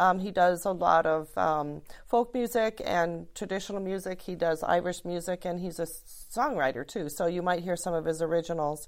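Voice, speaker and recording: In a very clean recording with a silent background, a woman with an Upper Midwest accent speaks at a fairly low pitch. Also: ordinary pitch variation, moderate pace, hardly any pauses. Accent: Upper Midwest American. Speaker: arts nonprofit director. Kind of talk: interview.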